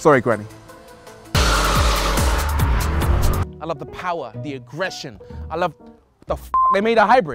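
Over loud music in the background, a man speaks in an enthusiastic tone at a fairly slow pace with long, frequent pauses and big swings in loudness, the sound dry with no echo. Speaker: TV presenter. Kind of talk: TV car presenter showreel. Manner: humorous, enthusiastic, self-deprecating.

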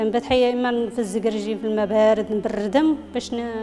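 A woman with a Moroccan accent talks at a moderate pace in a fairly high voice, with light background noise. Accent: Moroccan Arabic (Darija). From Morocco. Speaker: patient giving recovery testimony. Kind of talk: testimony. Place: office.

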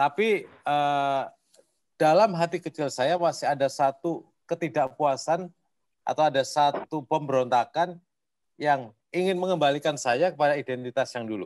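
Over a quiet background, a man talks with ordinary pitch variation. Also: moderate pace. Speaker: participant with medical background. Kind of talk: Q&A discussion. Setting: video call. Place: home room. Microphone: video call.

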